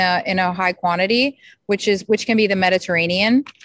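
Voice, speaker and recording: With fairly even intonation, a woman uses an ordinary speaking voice at medium pitch, the sound dry and close with no echo. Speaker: support group moderator.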